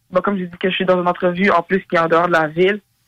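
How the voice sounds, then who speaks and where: A man uses a raised, projected voice at a high pitch. The sound is dry and close, with no echo. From Montreal, Quebec. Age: 20s. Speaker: rapper. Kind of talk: interview. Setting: phone call. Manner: halting.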